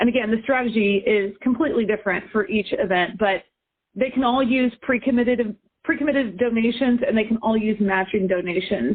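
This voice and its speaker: A woman with a plain, everyday voice speaks at a fairly high pitch and a fairly quick pace, with ordinary pitch variation and very even loudness. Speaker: benefit auctioneer, fundraising consultant. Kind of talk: interview answer.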